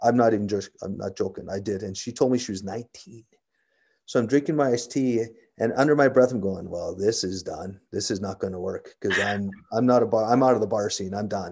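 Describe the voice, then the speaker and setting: A man with a Canadian accent and a plain, everyday voice speaks at a fairly quick pace with a fairly low pitch and ordinary pitch variation against a quiet background. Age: 50s. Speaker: police sergeant. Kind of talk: interview.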